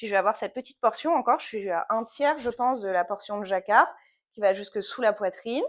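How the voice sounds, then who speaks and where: On a very clean recording with a silent background, a woman of medium pitch talks at a fairly quick pace with lively intonation. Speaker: knitting podcaster, yoga teacher. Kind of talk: casual knitting vlog chat. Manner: fast; hesitant, many fillers.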